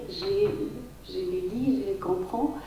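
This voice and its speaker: A woman with a Tajik accent speaks at a very slow pace, her pitch swinging very widely. The recording carries audible room echo and noticeable background noise. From Tajikistan. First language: Tajik (speaking French). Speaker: writer and poet. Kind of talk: round table panel talk. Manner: halting.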